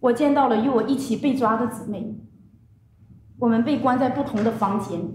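Amid light background noise and audible room echo, a woman with a Chinese accent speaks at a fairly high pitch with long, frequent pauses. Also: fairly even intonation, fairly quick pace. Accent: Mandarin Chinese. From China. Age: 30s. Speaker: religious persecution survivor; witness. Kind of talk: testimony. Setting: conference panel with microphones. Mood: solemn, grave. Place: meeting room. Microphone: podium.

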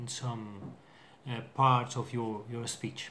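A man's voice comes through somewhat breathy. Light background noise sits behind it. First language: not English. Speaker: English learner vlogger. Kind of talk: casual vocabulary video. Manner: halting, hesitant with many fillers. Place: home room. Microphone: webcam.

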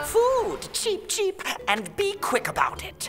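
Over clear background music, a put-on character voice, extremely high-pitched, hoarse and nasal, moves at a fairly slow pace. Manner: impatient, bossy, demanding.

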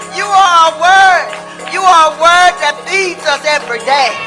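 The speech moves at a very slow pace over clear background music. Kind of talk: spoken prayer. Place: church. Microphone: handheld.

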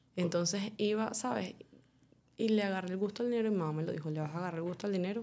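The speech comes at a very fast pace with ordinary pitch variation. Its tone is dark and mellow. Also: woman, medium pitch for a woman. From Venezuela. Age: 20s. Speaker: chef and adult content creator. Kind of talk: interview.

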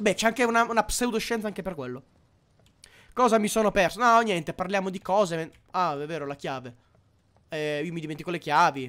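An animated man talks fairly quickly at a high pitch, his intonation lively and broken by long, frequent pauses. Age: 20s. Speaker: gaming streamer. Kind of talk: live gameplay commentary. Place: home room.

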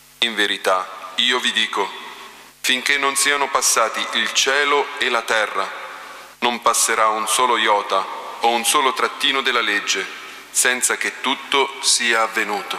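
This man speaks at a medium pitch and a fairly slow pace, with fairly even intonation. He takes long, frequent pauses, and the room echo is audible. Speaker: liturgical reader. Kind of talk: reading aloud. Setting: church. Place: church. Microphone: podium.

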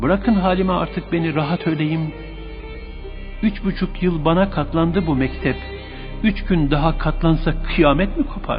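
Music in the background behind a man's fairly slow speech. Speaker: radio presenter. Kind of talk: poetry reading. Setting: radio studio.

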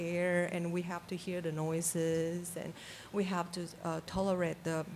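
With a non-native accent, a woman talks at a moderate pace in a medium pitch. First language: not English. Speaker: public commenter at city council meeting. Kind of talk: public comment. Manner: halting.

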